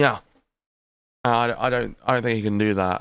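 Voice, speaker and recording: With a British accent, a man speaks at a moderate pace in a medium pitch. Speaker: livestream commentary co-host. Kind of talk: casual livestream chat.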